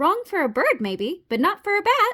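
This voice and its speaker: A woman does a loud, squeaky put-on character voice at an extremely high pitch. Her pitch swings very widely. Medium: read story.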